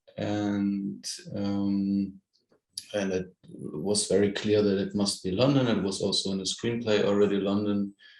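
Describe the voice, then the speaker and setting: This man has a German accent and a fairly low pitch. He talks at a fairly slow pace with fairly even intonation. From Germany. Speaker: film director. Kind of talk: interview. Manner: halting.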